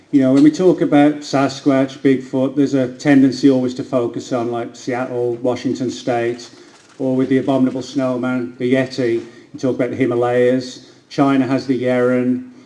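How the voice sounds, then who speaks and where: Flat, monotone intonation with an American accent comes through audible room echo and noticeable background noise. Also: man, medium pitch for a man, moderate pace. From England, Birmingham. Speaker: cryptozoologist and author. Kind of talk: lecture. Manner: hesitant, with frequent fillers.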